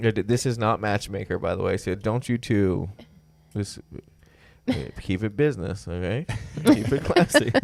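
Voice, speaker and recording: The speech moves at a moderate pace, with long, frequent pauses and ordinary pitch variation. Music plays in the background. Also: man, fairly low pitch for a man. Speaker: podcast host. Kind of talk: casual chat. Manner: loud; animated.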